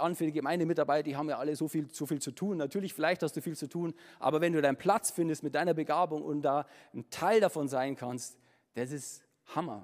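Speaking at a fairly quick pace, a man with a fairly high pitch and a warm tone uses ordinary pitch variation. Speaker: preacher; musician and former pastor. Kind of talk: sermon. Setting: church with congregation. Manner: casual, animated, chatty; warm, humorous, conversational.

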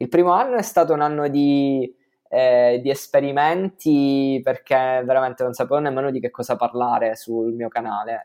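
A man with a northern Italian accent and fairly even intonation. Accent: northern Italian (Trentino). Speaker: content creator. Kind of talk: casual interview.

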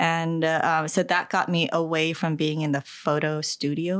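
Captured in a very clean recording with a silent background, a woman with a very deep, low pitch talks at a moderate pace. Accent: American. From New Jersey. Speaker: podcast co-host, photographer. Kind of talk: casual chat. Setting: home basement.

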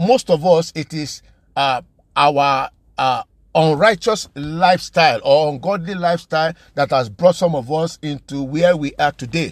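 A man speaks in a normal speaking voice at a fairly high pitch. His pace is moderate and his pitch varies in the usual way. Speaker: preacher. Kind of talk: sermon. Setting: podcast recording.

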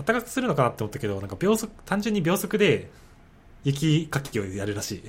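A man talks at a fairly quick pace with a fairly high pitch and vocal fry. His pitch swings very widely. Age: 20s. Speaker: graduate student. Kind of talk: casual chat.

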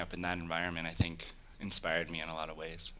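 With an American accent, a man talks at a fairly quick pace in a monotone, flat intonation and a bright, sharp tone. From California, Silicon Valley. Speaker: tech startup founder. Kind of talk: interview.

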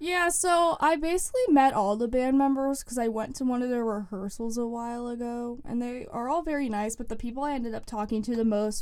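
A woman speaks at a fairly quick pace with a high pitch. Her pitch varies in an ordinary way. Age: young. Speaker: student newspaper lifestyle editor. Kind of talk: casual interview. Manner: casual, filler-heavy speech.

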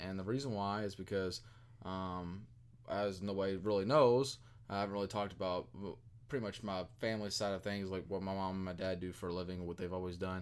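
Very fast and very deep, a man's low-pitched voice moves with fairly even intonation. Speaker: podcast co-host, network operations analyst. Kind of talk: casual chat.

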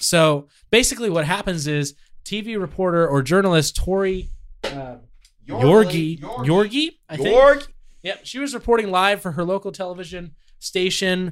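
Music plays behind a man with a high pitch who speaks at a fairly slow pace. His pitch variation is ordinary, and he makes long, frequent pauses. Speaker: podcast co-host.

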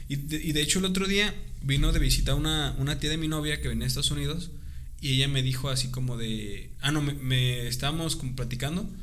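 With a Mexican accent, a man talks at a very fast pace amid audible room echo and noticeable background noise. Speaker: podcast co-host. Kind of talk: casual chat.

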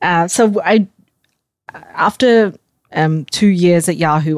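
With an Australian accent, a woman speaks with ordinary pitch variation in a dry, close sound with no echo. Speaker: startup founder and CEO. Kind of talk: interview.

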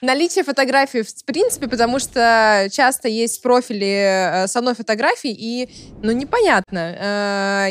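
A woman with a plain, everyday voice, fairly high pitch, and ordinary pitch variation. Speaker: expert on dating apps. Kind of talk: casual discussion.

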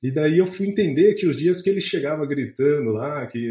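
Speaking at a moderate pace, a man uses ordinary pitch variation. His tone is dark and mellow, somewhat breathy. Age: 30s. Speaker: investment content creator, chemist. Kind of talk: podcast interview. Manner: hesitant, with frequent fillers and repetitions.

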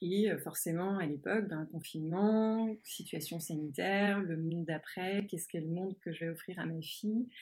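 A woman's fairly low, somewhat breathy voice at a moderate pace with ordinary pitch variation. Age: 40s. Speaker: marketing executive and podcaster. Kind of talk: interview. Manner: halting, many repetitions and fillers.

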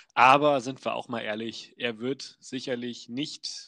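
A bright, sharp tone and fairly even intonation move at a fairly slow pace against a quiet background. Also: man. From Wolfsburg, Lower Saxony, Germany. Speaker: podcast co-host. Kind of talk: casual chat.

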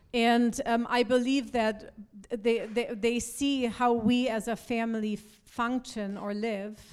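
A woman at a fairly high pitch with monotone, flat intonation and a very slow pace. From Germany. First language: German (speaking Spanish). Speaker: pastor. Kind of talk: sermon.

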